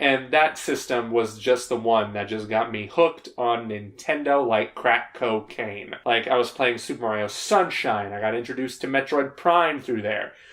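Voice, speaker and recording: A man at a moderate pace with hardly any pauses, medium pitch and ordinary pitch variation, over noticeable background noise. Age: 20s. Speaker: youtuber. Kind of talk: casual Q&A monologue.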